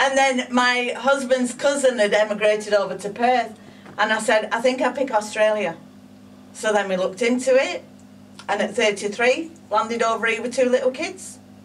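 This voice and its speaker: With a northern English accent, a woman speaks in a fairly high pitch at a moderate pace, with ordinary pitch variation and noticeable background noise. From northern England, Blackburn, Lancashire. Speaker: psychic medium. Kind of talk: interview. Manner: animated.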